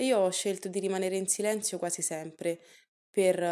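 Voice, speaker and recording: Her tone dark and mellow, a woman speaks at a fairly quick pace. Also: very clean recording, silent background. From Italy. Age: 20s. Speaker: podcast guest sharing personal story. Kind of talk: personal testimony.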